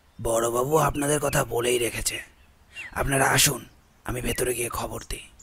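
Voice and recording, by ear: Using a raspy, put-on character voice, a man speaks at a medium pitch and a moderate pace.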